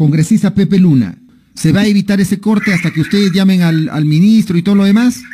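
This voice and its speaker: This man's dark, mellow tone comes with a high pitch and ordinary pitch variation. He goes at a very fast pace, with very even loudness. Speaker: radio host. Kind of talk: radio interview. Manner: animated.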